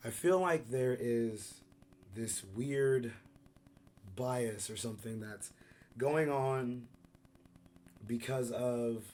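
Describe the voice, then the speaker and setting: A man at medium pitch, very slow, with ordinary pitch variation, long and frequent pauses, and audible room echo. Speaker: YouTube commentator. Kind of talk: casual commentary vlog. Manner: casual, hesitant with fillers.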